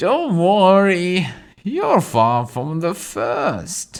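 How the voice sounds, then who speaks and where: This man uses a put-on character voice pitched high. He speaks at a very slow pace. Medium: read story. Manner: knowing, wry.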